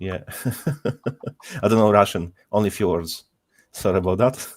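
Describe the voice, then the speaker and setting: In a Polish accent, a man speaks at a moderate pace with fairly low pitch and fairly even intonation. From Poland. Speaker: panel participant. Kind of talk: panel discussion.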